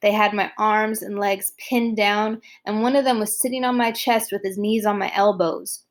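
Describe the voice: The speaker reads plainly aloud with fairly even intonation.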